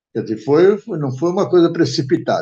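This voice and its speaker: This man's somewhat breathy voice has a dark, mellow tone and lively intonation. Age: 90s. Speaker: retired events industry executive. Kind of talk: interview. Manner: halting.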